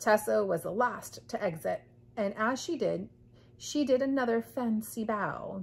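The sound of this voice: Here is an unforced reading voice. The intonation is lively.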